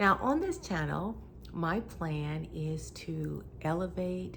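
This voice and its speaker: A woman is speaking. Room echo is audible. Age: 60s. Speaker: YouTuber and life coach. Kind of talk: channel welcome vlog.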